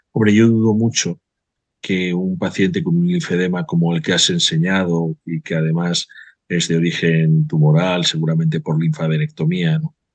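Against a quiet background with a dry sound and no echo, a man speaks in a very deep, low voice at a moderate pace with ordinary pitch variation. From Spain. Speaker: vascular surgeon, webinar moderator; webinar moderator. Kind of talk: webinar moderation. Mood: friendly, calm. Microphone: webcam.

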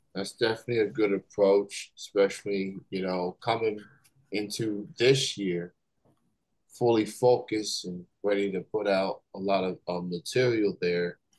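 Against a quiet background, a man talks fairly slowly with a fairly low pitch and fairly even intonation. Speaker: interviewer host. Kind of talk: casual interview. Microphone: video call.

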